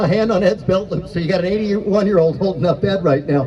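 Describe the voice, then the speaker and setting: The voice is loud. Noticeable background noise and audible room echo come through. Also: man. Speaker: event emcee. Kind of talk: live event emcee speech.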